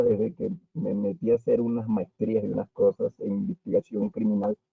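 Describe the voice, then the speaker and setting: A man's voice with very wide pitch swings. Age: 60s. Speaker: forensic biologist, audience member. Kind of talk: audience question and comment.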